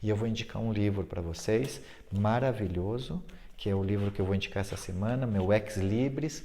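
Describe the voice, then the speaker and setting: Over audible room echo, a somewhat breathy voice with a dark, mellow tone speaks with ordinary pitch variation. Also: man. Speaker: fitness and yoga teacher. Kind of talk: informal video talk. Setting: sitting on a fitness ball at home. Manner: fast.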